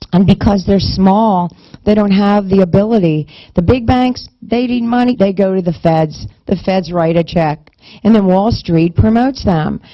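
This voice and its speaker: With a normal speaking voice, a woman speaks at a fairly slow pace and medium pitch, keeping very even loudness and ordinary pitch variation. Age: 50s. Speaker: minister promoting a fundraising payment card. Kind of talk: sales pitch. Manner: talkative, run-on sentences with false starts.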